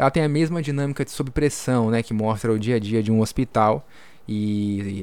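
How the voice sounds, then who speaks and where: This man has an ordinary speaking voice at medium pitch, with ordinary pitch variation and big swings in loudness at a moderate pace. The recording is very clean with a silent background. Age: 20s. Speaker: podcast host, journalist. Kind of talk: casual informative podcast chat; news reading.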